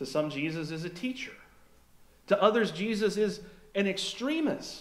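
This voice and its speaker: A man speaks at a moderate pace with an American accent and lively intonation. Room echo is audible. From Fargo, North Dakota, USA. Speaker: pastor. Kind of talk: sermon to a congregation. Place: church.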